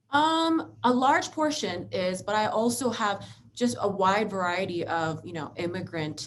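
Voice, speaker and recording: Speaking in an American accent at a fairly slow pace, a woman at medium pitch leaves hardly any pauses while her pitch swings very widely. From Philadelphia, US. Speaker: lawyer. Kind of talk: interview.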